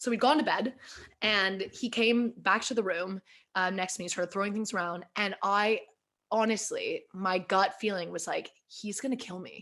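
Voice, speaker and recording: In an American accent, a woman speaks at a moderate pace and medium pitch with a bright, sharp tone, on a very clean recording with a silent background. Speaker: podcast host. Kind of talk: casual chat. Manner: animated.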